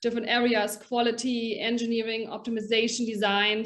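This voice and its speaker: A woman speaks in a German accent at a moderate pace. Her pitch sits fairly high. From Germany. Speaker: packaging education director. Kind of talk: podcast interview.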